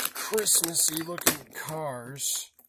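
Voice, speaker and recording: Noticeable noise is present in the background. Against it, a man talks with ordinary pitch movement. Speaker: toy collector YouTuber. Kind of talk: unboxing video. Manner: casual, halting.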